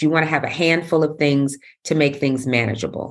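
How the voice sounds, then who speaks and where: A woman talks in an animated tone with a New York accent. The recording is very clean, with a silent background. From New York City. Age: 50s. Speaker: wellness coach and yoga teacher. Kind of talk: casual interview.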